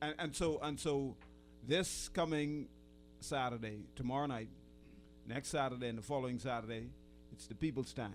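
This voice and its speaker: Over music in the background, the speaker goes at a moderate pace with ordinary pitch variation and long, frequent pauses. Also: man, medium pitch for a man. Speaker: radio host. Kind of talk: radio talk show interview. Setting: studio.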